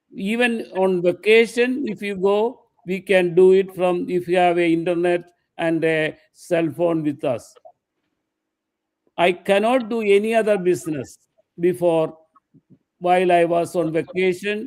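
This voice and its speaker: The man's voice is high, with ordinary pitch variation. He speaks at a fairly slow pace with long, frequent pauses. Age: 70s. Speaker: retired shop owner and real estate broker. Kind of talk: testimony. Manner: halting.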